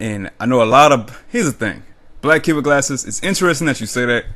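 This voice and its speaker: Animated in tone, a man speaks fairly quickly with ordinary pitch variation. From US South, New Orleans. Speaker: YouTuber. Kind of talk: casual vlog monologue. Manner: animated, goofy.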